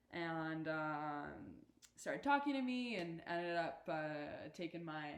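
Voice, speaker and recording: Lively intonation in a Canadian accent, at a fairly slow pace, with audible room echo. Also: woman. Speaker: university athlete. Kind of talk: casual chat. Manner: halting.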